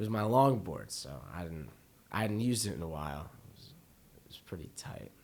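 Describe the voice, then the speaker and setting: With a very deep, low pitch, a man talks at a fairly quick pace, his pitch swinging very widely and his loudness shifting a lot, while room echo is audible. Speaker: podcast co-host. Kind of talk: casual chat.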